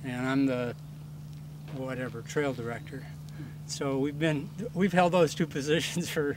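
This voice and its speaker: Fairly even intonation and a moderate pace from a man with a fairly high pitch. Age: 60s. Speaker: mountain bike club trail director. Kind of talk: casual interview.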